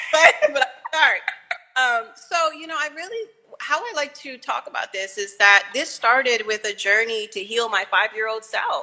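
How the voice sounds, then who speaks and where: With music in the background, a woman speaks at a high pitch and a moderate pace. Her intonation is lively and her loudness swings widely. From Arlington, Virginia, US (Caribbean family). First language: Spanish. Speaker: visual artist. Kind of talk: interview conversation. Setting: live video stream.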